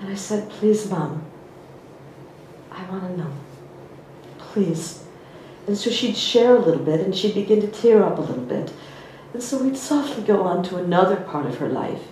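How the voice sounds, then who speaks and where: With lively intonation and big swings in loudness, a woman speaks at a moderate pace and medium pitch, taking long, frequent pauses amid audible room echo and noticeable background noise. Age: 50s. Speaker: spiritual teacher. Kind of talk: personal story in a talk.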